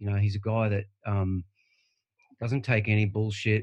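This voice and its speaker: A man with an Australian accent and a fairly low pitch. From Australia, Bribie Island, Queensland. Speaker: surf writer. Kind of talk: casual chat. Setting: video call.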